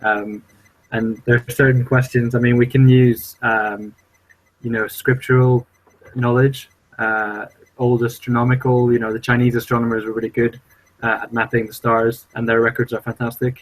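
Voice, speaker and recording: The speaker's intonation is monotone and flat. The pace is moderate. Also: man, medium pitch for a man. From international upbringing, Swedish parents, born in Brazil. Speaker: podcast co-host. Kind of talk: casual chat. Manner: halting, many fillers.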